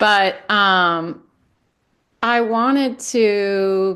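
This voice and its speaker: A woman speaks with a bright, sharp tone at a medium pitch. The background is quiet. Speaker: podcast host. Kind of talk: personal podcast monologue. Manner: hesitant, reflective.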